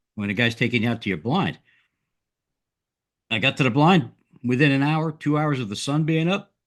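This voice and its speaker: The speaker moves at a fairly quick pace with lively intonation but takes long, frequent pauses. The background is quiet. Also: man, fairly high pitch for a man. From New Jersey. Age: middle-aged. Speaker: podcast host. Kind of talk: casual chat. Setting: podcast recording.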